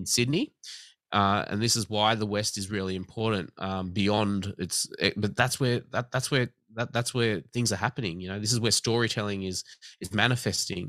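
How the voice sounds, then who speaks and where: At a moderate pace, a man with an Australian accent speaks at a fairly low pitch in a bright, sharp tone with fairly even intonation, the sound dry and close with no echo. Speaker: government commissioner for night-time economy. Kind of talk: interview.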